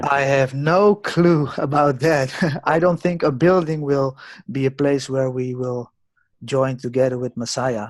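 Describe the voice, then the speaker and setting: Fairly high in pitch, a man speaks at a fairly slow pace. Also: ordinary pitch variation. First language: not English. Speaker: forum participant. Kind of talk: group discussion. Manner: halting.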